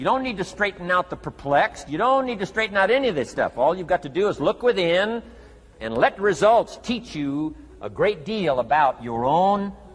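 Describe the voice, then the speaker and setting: With music in the background, a man speaks at a moderate pace in a high pitch, his voice making very wide pitch swings. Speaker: motivational speaker. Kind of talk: motivational speech.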